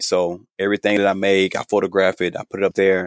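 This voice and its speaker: This man talks at a fairly quick pace with an American accent and a fairly low pitch, an unremarkable speaking voice in a dry, close sound with no echo on a very clean recording with a silent background. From US South, Georgia. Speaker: menswear designer and sewing influencer. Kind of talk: interview.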